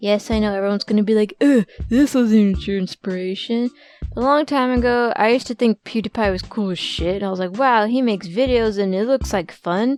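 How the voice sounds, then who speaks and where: With ordinary pitch variation, the delivery moves at a fairly quick pace. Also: woman, fairly high pitch for a woman. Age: 20s. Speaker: YouTuber. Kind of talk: casual Q&A. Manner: casual, chatty.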